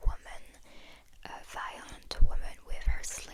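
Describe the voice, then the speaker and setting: Noticeable background noise sits under a whispered voice. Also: woman. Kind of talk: ASMR soft-spoken travel talk to camera. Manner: soft-spoken.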